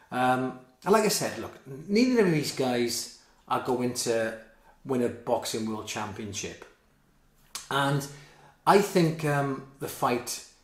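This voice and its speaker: There is audible room echo as a man speaks. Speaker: boxing commentator. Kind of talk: commentary.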